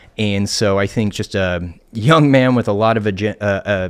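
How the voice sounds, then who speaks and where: Recorded very cleanly over a silent background, a man with an American accent talks at a moderate pace and fairly low pitch with ordinary pitch variation. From southeast Missouri. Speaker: county councilman and political candidate. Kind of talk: interview. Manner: halting.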